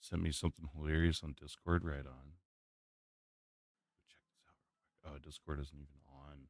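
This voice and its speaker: A quiet man's very deep, low voice at a moderate pace, monotone and flat in intonation, with big swings in loudness and long, frequent pauses. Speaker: streamer. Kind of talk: live stream casual chat.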